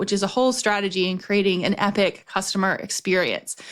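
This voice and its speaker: A woman is speaking. She talks at a fairly quick pace. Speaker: business strategist and podcast host. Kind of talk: casual podcast monologue. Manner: fast when excited.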